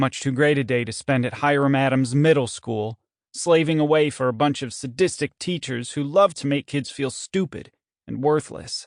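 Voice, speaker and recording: Fairly high pitch from a man, a plain, everyday voice at a moderate pace with ordinary pitch variation over a quiet background. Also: dry, close sound with no echo. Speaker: audiobook narrator. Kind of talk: audiobook reading, first-person story.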